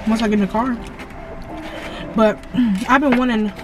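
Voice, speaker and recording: Clear music plays behind a woman whose intonation stays fairly even. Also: dry sound with no echo. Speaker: vlogger. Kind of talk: casual vlog chat. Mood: relaxed, joking. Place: car. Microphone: phone near.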